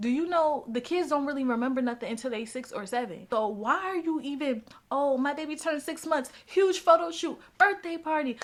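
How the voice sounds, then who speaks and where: A woman's high, animated voice at a fairly quick pace, lively in intonation, with hardly any pauses. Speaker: personal finance vlogger. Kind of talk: casual advice vlog. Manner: fast.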